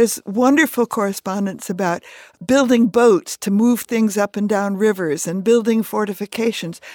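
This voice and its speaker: With a plain, everyday voice, a woman of medium pitch speaks at a moderate pace with ordinary pitch variation, the sound dry and close with no echo. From US Midwest and upstate New York. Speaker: retired history professor. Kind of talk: radio interview. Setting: studio.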